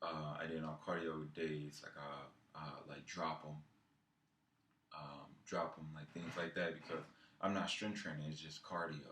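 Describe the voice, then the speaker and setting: A man with a very deep, low pitch and a bright, sharp tone speaks at a fairly slow pace. His intonation is monotone and flat, with audible room echo. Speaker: fitness vlogger. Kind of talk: casual vlog monologue. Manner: halting, many fillers.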